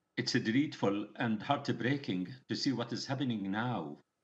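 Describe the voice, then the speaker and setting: In a Palestinian accent, a man speaks at a fairly slow pace with a medium pitch and ordinary pitch variation. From Palestine (Gaza). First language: Arabic. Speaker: medical doctor. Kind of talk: news interview answer. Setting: remote video link.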